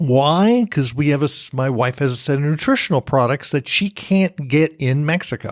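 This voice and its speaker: Recorded very cleanly against a silent background, the sound is dry and close with no echo. A man with an American accent uses a normal speaking voice at a fairly high pitch, with lively intonation. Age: 60s. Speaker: podcast host. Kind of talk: casual monologue.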